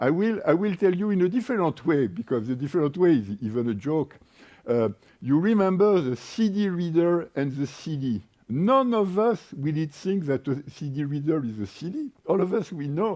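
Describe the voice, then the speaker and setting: Very wide pitch swings in a French accent. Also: man, high pitch for a man, moderate pace. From France. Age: 60s. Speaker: energy market expert and workshop moderator. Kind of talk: panel workshop talk. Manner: hesitant, with fillers.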